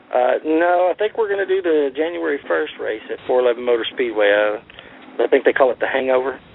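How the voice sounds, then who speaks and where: Noticeable background noise under very wide pitch swings. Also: man, fairly high pitch for a man. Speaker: racing TV show producer. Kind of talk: radio interview. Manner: halting.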